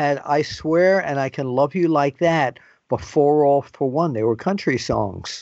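With an unremarkable speaking voice, a man keeps a moderate pace and ordinary pitch variation. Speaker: wrestling journalist interviewer. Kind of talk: interview. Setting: phone call on assignment.

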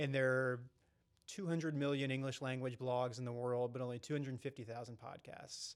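A man speaks with an American accent and fairly even intonation. His is an unremarkable speaking voice. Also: medium pitch for a man, fairly quick pace. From North Carolina. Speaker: podcast co-host. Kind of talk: casual chat.

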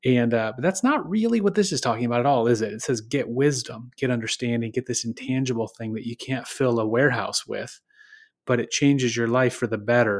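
On a very clean recording with a silent background, a man with an American accent talks in a normal speaking voice at a medium pitch. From Michigan, US. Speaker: devotional podcast host. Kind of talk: devotional reflection, casual.

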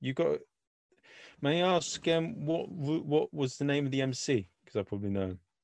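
Lively in intonation, a man with an English accent speaks at a moderate pace and fairly high pitch, in a dry, close sound with no echo. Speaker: podcast host. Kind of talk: casual interview chat.

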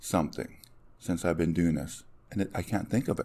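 A man talks with a Canadian prairie accent. The recording is very clean, with a silent background. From Saskatchewan, Canada. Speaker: fire chief. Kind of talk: interview conversation.

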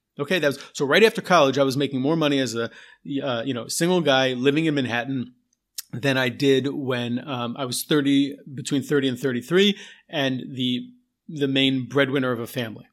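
A man's ordinary speaking voice at medium pitch, fairly quick, with ordinary pitch variation, in a very clean recording with a silent background. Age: 40s. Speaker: podcast host and technical writer. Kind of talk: solo podcast monologue. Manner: casual with frequent fillers.

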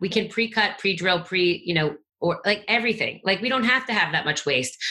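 A woman's normal speaking voice, fairly high in pitch, at a fairly quick pace with lively intonation. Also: very even loudness. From New York. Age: 40s. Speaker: construction technology executive. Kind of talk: podcast interview.

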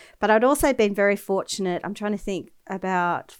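A woman with an Australian accent and ordinary pitch variation, in a very clean recording with a silent background. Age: 40s. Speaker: entrepreneur. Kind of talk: interview.

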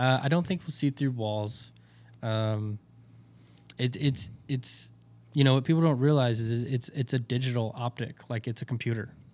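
A man with a Texan accent talks at a moderate pace, his pitch medium and its variation ordinary. He leaves long, frequent pauses. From Texas. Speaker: optics company representative. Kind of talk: casual interview.

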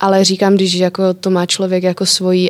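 A woman speaks at a fairly quick pace and a medium pitch. The sound is dry and close, with no echo. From Czech Republic. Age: 20s. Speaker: entrepreneur. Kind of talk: interview.

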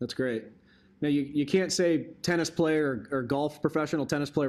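A man talks at a fairly quick pace in a normal speaking voice with ordinary pitch variation, captured on a very clean recording against a silent background. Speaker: podcast host. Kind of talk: interview.

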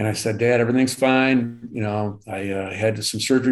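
A man with a Michigan accent. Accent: US Midwest (Michigan). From Michigan, Detroit suburbs. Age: 60s. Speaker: cancer survivor. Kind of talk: interview. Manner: halting, many fillers.

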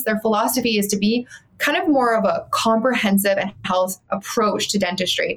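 With a Canadian accent, a woman talks at a moderate pace with a fairly high pitch and ordinary pitch variation, over noticeable background noise. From Canada, Calgary. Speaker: dental practice coach. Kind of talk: interview.

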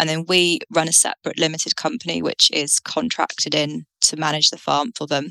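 Recorded dry and close with no echo, a woman with a British accent talks fairly quickly with hardly any pauses. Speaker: dairy farmer and farm consultant. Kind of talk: interview.

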